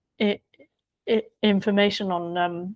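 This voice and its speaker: A woman with an English accent speaks in a monotone, with flat intonation. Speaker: biographer. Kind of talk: interview.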